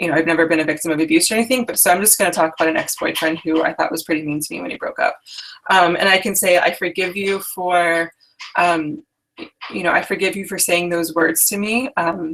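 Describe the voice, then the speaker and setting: A woman speaks very fast in a fairly low voice with ordinary pitch variation. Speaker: dating coach. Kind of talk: live workshop. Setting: live online call. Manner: hesitant fillers.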